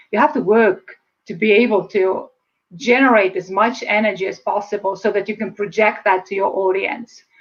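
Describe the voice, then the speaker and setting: With an Estonian accent, a woman speaks at medium pitch. Her pace is fairly quick, with ordinary pitch variation. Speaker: speaker and public speaking coach. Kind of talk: interview. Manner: fast.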